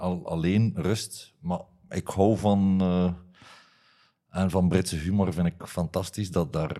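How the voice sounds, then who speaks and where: A man speaks very slowly in a very deep, low voice with a dark, mellow tone and flat, monotone intonation. The recording is very clean, with a silent background. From West Flanders, Belgium (Heule, Kortrijk). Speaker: teacher and reality game show contestant. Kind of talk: casual interview chat. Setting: studio. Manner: halting.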